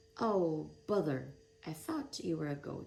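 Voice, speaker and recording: This is a put-on character voice, gruff and at a middle pitch. It goes at a fairly slow pace. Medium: read story. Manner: gruff, roaring.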